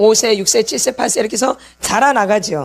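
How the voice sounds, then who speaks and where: A woman talks at a very fast pace in a fairly high, animated voice with lively intonation. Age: 60s. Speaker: pastor's wife and healing ministry teacher. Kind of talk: sermon. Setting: church.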